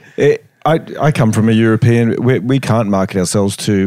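His voice is fairly low in pitch. The man's pitch variation stays ordinary. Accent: Australian. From Australia. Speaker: chiropractic researcher. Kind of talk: casual chat. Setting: hotel room.

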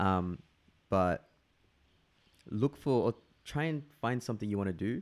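A man with an Australian accent talks at a fairly slow pace, leaving long, frequent pauses. His fairly low voice carries lively intonation. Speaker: guest. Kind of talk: casual chat.

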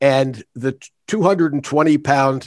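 An unremarkable speaking voice from a man with an American accent, fairly high in pitch, with ordinary pitch variation and a quiet background. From Philadelphia. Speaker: retired judge and arbitrator. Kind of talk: interview.

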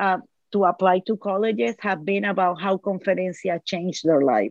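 Her voice medium in pitch with ordinary variation, a woman speaks with a strong Puerto Rican accent. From Puerto Rico. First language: Spanish. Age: 50s. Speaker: Spanish teacher. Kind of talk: casual interview. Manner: cheerful, laughs easily.

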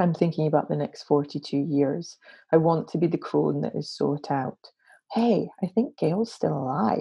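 A woman with a Glaswegian accent speaks at a fairly slow pace. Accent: Glaswegian Scottish. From Scotland, Glasgow. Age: 40s. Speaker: interfaith minister. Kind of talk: casual interview conversation.

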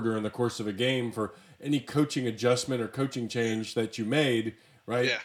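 A man talks at medium pitch and a fairly quick pace in an ordinary speaking voice. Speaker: podcast host. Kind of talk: casual interview chat.

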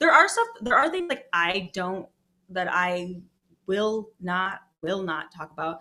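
With music in the background, a woman with an American accent speaks at a fairly slow pace and medium pitch, with ordinary pitch variation and big swings in loudness. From Michigan, Detroit area. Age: 30s. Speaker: comedian. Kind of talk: casual chat.

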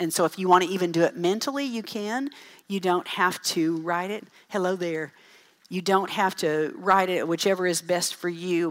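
A woman with a plain, everyday voice, medium pitch and a moderate pace. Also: ordinary pitch variation. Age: 50s. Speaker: parenting speaker. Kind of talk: conference talk.

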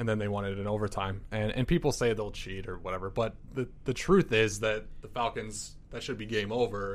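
This man has a normal speaking voice at a fairly low pitch. He talks at a fairly quick pace. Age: 30s. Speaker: sports editor. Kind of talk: casual sports chat. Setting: studio.

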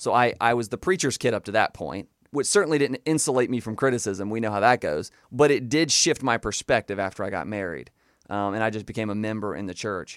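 A man with a Southern US accent at a very fast pace, medium pitch and ordinary pitch variation, on a very clean recording with a silent background. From US South, Florida Panhandle. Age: 20s. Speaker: former fundamentalist Baptist, preacher's kid. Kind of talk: interview testimony. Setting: radio studio.

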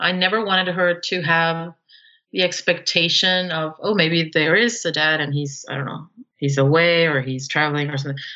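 Moderate-paced female speech with ordinary pitch variation. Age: 40s. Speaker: single mother by choice. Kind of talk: interview. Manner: halting.

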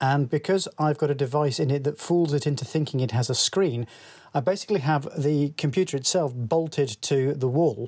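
This man's voice sits fairly high and is somewhat breathy, with ordinary pitch variation. He keeps a moderate pace and very even loudness. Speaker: listener sending voicemail. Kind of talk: voicemail.

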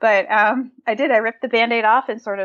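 With an American accent and a plain, everyday voice, a woman speaks fairly quickly at fairly high pitch with fairly even intonation. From New England, Massachusetts. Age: 30s. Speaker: nutrition and fitness podcaster, founder. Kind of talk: casual interview.

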